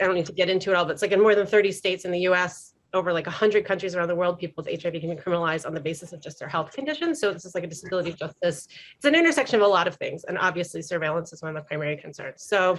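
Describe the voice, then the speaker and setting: The speech moves at a very fast pace. Its pitch varies in an ordinary way. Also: woman, medium pitch for a woman. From New York. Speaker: health justice organizer. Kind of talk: panel discussion.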